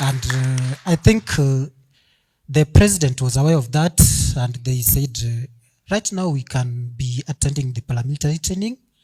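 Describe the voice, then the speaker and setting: A man talks with a dark, mellow tone and ordinary pitch variation. His voice is somewhat breathy. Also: medium pitch for a man, moderate pace. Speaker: young professional sharing a story. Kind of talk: audience testimony at event. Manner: halting.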